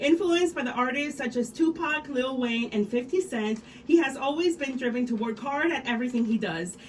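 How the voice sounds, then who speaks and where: A woman speaks at a fairly quick pace with a high pitch, lively intonation and hardly any pauses. Noticeable background noise runs underneath. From Mexico. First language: Spanish. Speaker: radio host. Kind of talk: scripted introduction. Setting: radio studio.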